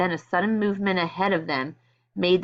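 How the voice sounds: Over a quiet background, the speaker uses a natural reading voice with fairly even intonation.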